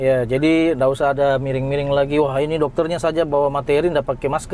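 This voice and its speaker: Here a man talks at a fairly high pitch. His intonation stays fairly even. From Sunda, West Java. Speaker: doctor and YouTube host. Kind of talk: casual interview. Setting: in a car with sunroof open.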